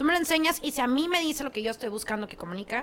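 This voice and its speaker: Over noticeable background noise, a woman with a high pitch and a raised, projected voice speaks at a very fast pace, her pitch swinging very widely. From Mexico, Ciudad Acuña, Coahuila. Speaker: communications strategist and agency owner. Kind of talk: casual interview chat.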